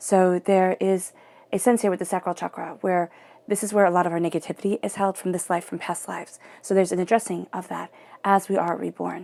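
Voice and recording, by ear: A woman at a fairly low pitch, fairly quick pace with few pauses, little pitch movement, vocal fry and a slightly mellow tone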